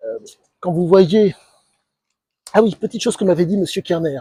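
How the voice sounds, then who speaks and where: The tone is dark and mellow, with ordinary pitch variation. The sound is dry and close, with no echo. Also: man. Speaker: YouTuber commentator. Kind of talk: monologue commentary video. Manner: calm, measured; halting, many fillers.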